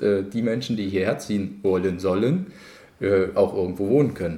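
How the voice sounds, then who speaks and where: A man's fairly low voice with a dark, mellow tone. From Cottbus, Brandenburg (Lusatia). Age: 30s. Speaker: mayoral candidate. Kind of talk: interview.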